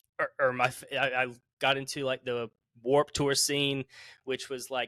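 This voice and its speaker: In a Southern US accent, the speaker's bright, sharp tone stays flat and monotone, with a dry, close sound with no echo on a very clean recording with a silent background. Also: man. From US South, South Carolina. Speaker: musician. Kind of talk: casual chat.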